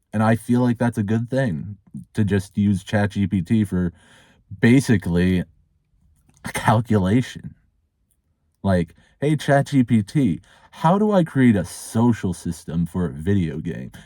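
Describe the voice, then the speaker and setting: Recorded very cleanly with a silent background and a dry, close sound with no echo, a man with a dark, mellow, fairly low voice speaks with long, frequent pauses. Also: fairly slow pace. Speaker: streamer and hobby game developer. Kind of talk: casual monologue vlog. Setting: in a car. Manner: stuttering.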